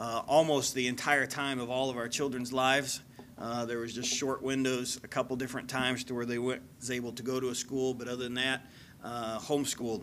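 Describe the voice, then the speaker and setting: Light background noise sits beneath a man talking at a moderate pace. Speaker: guest preacher. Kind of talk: sermon introduction, personal background. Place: church. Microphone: podium.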